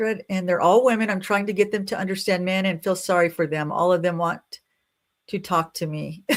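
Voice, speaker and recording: At a moderate pace, a woman with an American accent speaks at a medium pitch. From Nebraska, US Midwest. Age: 60s. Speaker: YouTuber talking about life after 60. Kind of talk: live stream chat reading viewer comments. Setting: livestream. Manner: loud; casual, chatty.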